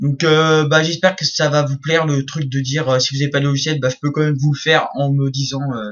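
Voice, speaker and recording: Somewhat breathy, a man talks at a very fast pace with a fairly high pitch and fairly even intonation. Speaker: YouTube graphic design creator. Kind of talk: tutorial. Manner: hesitant, many fillers.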